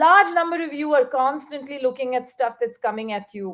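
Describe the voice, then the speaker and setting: A high-pitched woman at a moderate pace, her intonation lively. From Punjab, India. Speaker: author and panel speaker. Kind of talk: panel discussion with audience Q&A.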